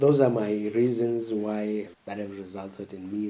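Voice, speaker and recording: A man with a Zimbabwean accent speaks in a fairly low pitch and a dark, mellow tone. His intonation is flat and monotone. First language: isiNdebele. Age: 20s. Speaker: podcast host. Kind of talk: monologue commentary. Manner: halting, with frequent fillers.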